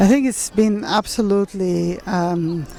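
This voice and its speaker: A woman with a non-native accent speaks with ordinary pitch variation over noticeable background noise. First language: not English. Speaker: museum representative returning cultural objects. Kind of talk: public talk at a meeting. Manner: halting.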